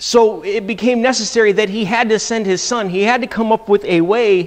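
A man's speech shows ordinary pitch variation, with a quiet background behind it. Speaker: church teacher. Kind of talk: sermon-like class lecture. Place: church. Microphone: lapel.

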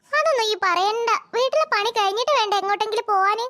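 A woman does a cartoonish character voice at an extremely high pitch, moving at a moderate pace. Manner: chatty, warm.

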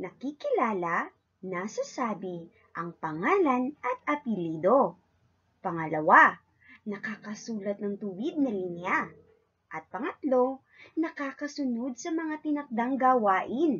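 Her pitch making very wide swings, a woman talks at a fairly slow pace. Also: fairly high pitch for a woman. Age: 20s. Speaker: kindergarten teacher. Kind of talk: lesson for young children.

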